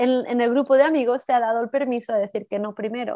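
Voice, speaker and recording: Against a quiet background, a woman talks at a high pitch with ordinary pitch variation. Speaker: yoga teacher and women's empowerment coach. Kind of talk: interview.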